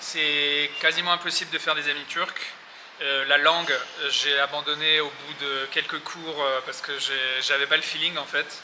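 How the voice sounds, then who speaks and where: A man with a fairly high voice speaks at a moderate pace in a monotone, flat intonation. He leaves long, frequent pauses over noticeable background noise. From Paris, France. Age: 30s. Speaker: expat, trader. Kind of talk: interview answer. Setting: outdoors. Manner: hesitant, casual.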